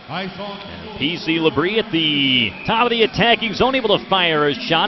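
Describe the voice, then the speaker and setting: A man with a high-pitched voice and lively intonation talks over noticeable background noise, the sound dry and free of echo. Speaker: hockey play-by-play announcer. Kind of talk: live sports commentary (hockey play-by-play). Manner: fast, excitable, rising pitch on goals; clipped, rapid-fire play-by-play delivery. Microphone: headset.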